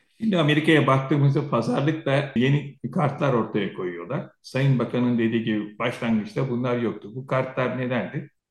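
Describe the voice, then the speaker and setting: Ordinary pitch variation at a moderate pace. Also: man, hardly any pauses. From Turkey, Aegean region (Söke). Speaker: retired air force officer and security analyst. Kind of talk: interview. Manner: animated.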